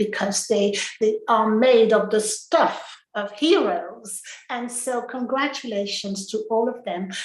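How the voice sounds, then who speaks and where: A woman with a French accent speaks fairly slowly at a fairly high pitch with ordinary pitch variation. Audible room echo and noticeable background noise surround her voice. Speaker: English-Speaking Union representative. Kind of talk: closing speech. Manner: halting.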